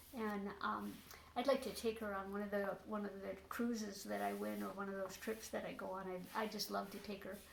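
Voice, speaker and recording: Room echo is audible as a woman talks over noticeable background noise. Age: 70s. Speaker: interviewee sharing health recovery story. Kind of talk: interview testimony. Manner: halting, many fillers.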